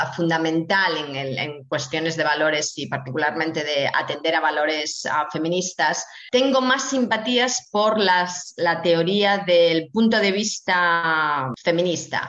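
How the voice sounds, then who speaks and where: Against noticeable background noise, a woman with a fairly low pitch talks at a very slow pace with lively intonation. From Spain, Asturias. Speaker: bioethics professor. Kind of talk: interview. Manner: halting with frequent repetitions.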